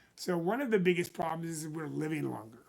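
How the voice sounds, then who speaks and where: A man speaks in an unremarkable speaking voice, his pitch fairly high with ordinary variation. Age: 60s. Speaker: financial planner. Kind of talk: casual talk to camera.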